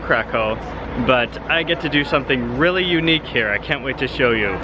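Noticeable background noise surrounds a man talking at a moderate pace in a dry sound with no echo. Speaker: travel vlogger. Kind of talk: casual vlog chat. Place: street. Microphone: phone near.

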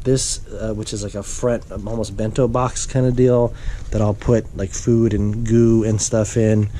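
There's light background noise as a man speaks at a fairly slow pace. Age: 40s. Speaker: video blogger, amateur cyclist. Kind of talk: tutorial. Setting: at home. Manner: casual, many fillers. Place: home room. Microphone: phone near.

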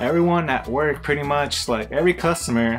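Faint music sits in the background. A man's speech moves at a moderate pace. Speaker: vlogger. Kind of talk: casual vlog chat. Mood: amused, laughing often. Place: home room.

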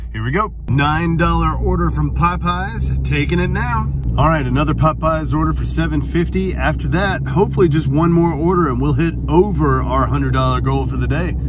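A man at a moderate pace with hardly any pauses, a dry sound with no echo, and noticeable background noise. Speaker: delivery driver vlogger. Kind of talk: casual vlog chat. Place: car. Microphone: phone near.

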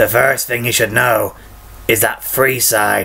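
Over light background noise, a man uses a raspy, gravelly put-on character voice at a fairly slow pace. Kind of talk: video game character impression. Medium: voice reel. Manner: chummy, gossipy, generous.

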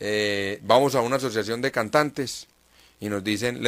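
Using a normal speaking voice, a man talks at a moderate pace with medium pitch and fairly even intonation. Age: 30s. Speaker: mayoral candidate and journalist. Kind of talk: radio interview.

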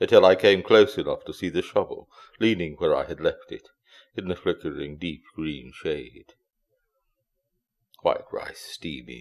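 A man speaks at a fairly slow pace with big swings in loudness and long, frequent pauses. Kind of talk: poetry reading.

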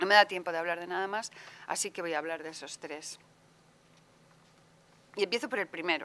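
Bright and sharp in tone, a woman speaks at a fairly low pitch. Her pace is fairly quick.

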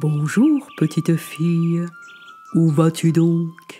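Over faint music in the background, a put-on character voice at a middle pitch speaks at a very slow pace.

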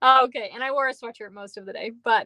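A woman with a high pitch and a bright, sharp tone speaks at a fairly quick pace. The sound is dry with no echo against a quiet background. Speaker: craft demonstrator. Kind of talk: live tutorial. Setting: home basement livestream. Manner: casual, chatty. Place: home room.

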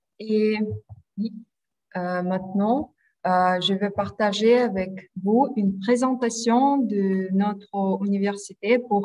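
Speaking very slowly with a Russian accent, a woman uses fairly even intonation at a medium pitch against a quiet background. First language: Russian (speaking French). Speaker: university admissions specialist. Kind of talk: presentation. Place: home room. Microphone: video call.

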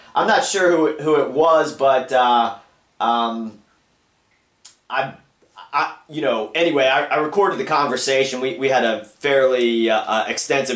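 Speaking at a moderate pace with long, frequent pauses and ordinary pitch variation, a man is heard in a room with audible echo and a quiet background. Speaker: caller. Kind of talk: phone conversation. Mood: earnest, complaining. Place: home room.

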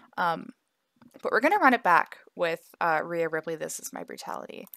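Quiet with big swings in loudness, a woman's voice comes through with a dry, close sound and no echo. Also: moderate pace. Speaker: mobile gaming content creator. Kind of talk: gameplay commentary. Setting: home apartment at night.

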